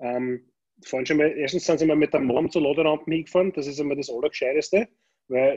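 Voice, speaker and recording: At a very fast pace, a man with a fairly high pitch and a dark, mellow tone speaks with ordinary pitch variation. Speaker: podcast co-host. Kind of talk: casual chat. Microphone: tinny, poor audio, like through a tin can.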